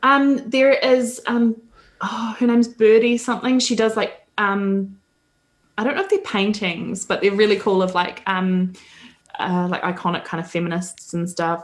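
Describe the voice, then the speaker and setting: With a New Zealand accent, a woman talks at a moderate pace, her fairly high pitch showing ordinary variation. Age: 30s. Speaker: women's advocacy spokesperson. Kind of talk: interview conversation. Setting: podcast interview. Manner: hesitant, many fillers.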